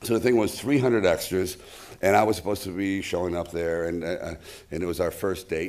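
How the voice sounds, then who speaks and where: With a very deep, low pitch, a man talks using ordinary pitch variation. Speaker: actor. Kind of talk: anecdote to an audience. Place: stage. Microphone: podium.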